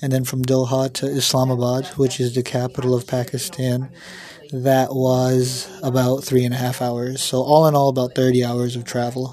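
With a New York State accent, a man talks at a moderate pace and medium pitch. His intonation is monotone and flat, with noticeable background noise. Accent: American, New York State. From New York State, US. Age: 20s. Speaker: student and hospital worker. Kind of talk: interview.

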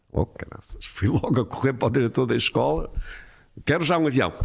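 Recorded very cleanly against a silent background, a man talks at a medium pitch with vocal fry. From Portugal, Porto. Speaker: airline pilot. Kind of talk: casual chat.

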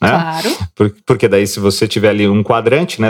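A normal speaking voice from a man, moderate in speed and fairly low in pitch. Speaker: financial market analyst co-host. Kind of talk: market commentary and interview.

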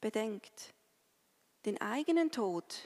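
A woman with a fairly high pitch speaks in a dry, close sound with no echo. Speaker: pastor. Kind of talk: sermon. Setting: church. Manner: solemn, slow and measured; earnest, consoling, pausing between short sentences.

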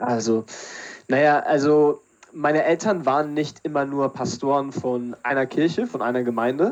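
With ordinary pitch variation and a moderate pace, a man talks at a fairly high pitch. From Berlin, Germany. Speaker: theologian and podcast co-host. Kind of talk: casual chat. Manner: halting.

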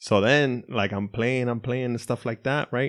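A plain, everyday voice from a man at medium pitch and a fairly slow pace. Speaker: podcast co-host. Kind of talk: casual chat. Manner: joking, playful.

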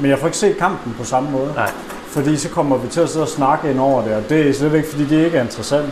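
Very fast speech from a man at fairly high pitch, fairly even in intonation, with audible room echo and noticeable background noise. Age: 20s. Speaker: football fan, podcast guest. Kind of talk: casual chat. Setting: living room over coffee.

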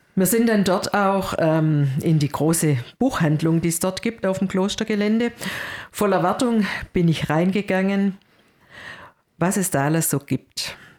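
At a fairly slow pace with long, frequent pauses, the speech keeps very even loudness and ordinary pitch variation on a very clean recording with a silent background. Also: woman, medium pitch for a woman. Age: 50s. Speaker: church worker, co-host. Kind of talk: casual religious discussion.

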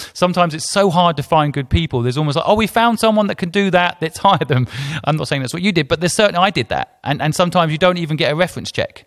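Very fast and with hardly any pauses, a man with an English accent speaks in a high voice with ordinary pitch variation. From England. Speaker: podcast host, entrepreneur. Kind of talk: interview.

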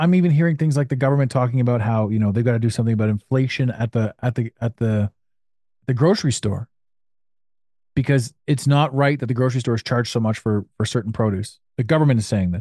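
In a Canadian accent, the voice runs at a very fast pace with a dark, mellow tone, ordinary pitch variation and very even loudness, in a dry, close sound with no echo and a quiet background. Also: man, medium pitch for a man. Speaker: podcast host and business mentor. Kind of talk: casual interview chat.

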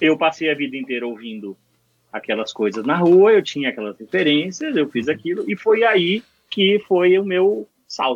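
Here a man talks at a moderate pace with a fairly high pitch. His pitch swings very widely. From Bahia, Brazil. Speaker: mixing engineer. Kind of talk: casual chat.

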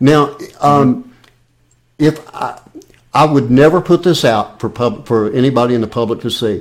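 This man's voice shows ordinary pitch variation. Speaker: podcast host. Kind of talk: casual interview chat.

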